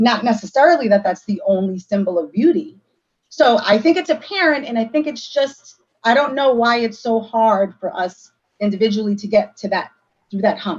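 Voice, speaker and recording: There is a somewhat breathy quality to this woman's voice. Her intonation is lively. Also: fairly high pitch for a woman, moderate pace. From United States, child of South American immigrants. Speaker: community book discussion participant. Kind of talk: casual group discussion.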